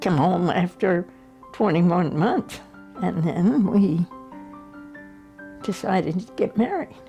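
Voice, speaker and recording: Over music in the background, a woman speaks at a very slow pace in a medium pitch with ordinary pitch variation and long, frequent pauses. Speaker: mother of twelve. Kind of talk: family history interview answer.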